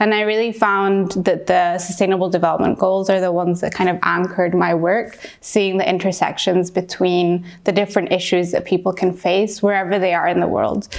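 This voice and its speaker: Monotone, flat intonation from a woman at a medium pitch, with very even loudness throughout. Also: fairly quick pace, hardly any pauses. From Peru. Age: 20s. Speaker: youth activist. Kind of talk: interview monologue.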